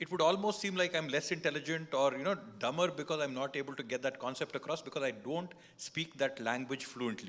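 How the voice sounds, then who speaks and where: Speaking very fast in a Kannada accent, this voice has ordinary pitch variation. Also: man, fairly high pitch for a man. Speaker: politician. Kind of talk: panel discussion.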